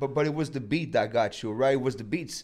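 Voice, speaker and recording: In a Quebec accent, a man speaks at a medium pitch with fairly even intonation. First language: French. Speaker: rapper. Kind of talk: interview. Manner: halting.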